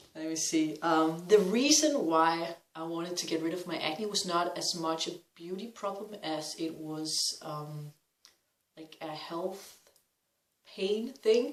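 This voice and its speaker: Very slow speech comes with a Danish accent. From Denmark. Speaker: vlogger. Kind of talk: personal testimony vlog. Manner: hesitant, many fillers.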